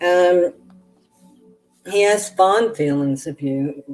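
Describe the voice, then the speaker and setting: Fairly slow speech from a woman, backed by music. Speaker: tarot reader. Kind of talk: live stream reading. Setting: live stream. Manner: halting.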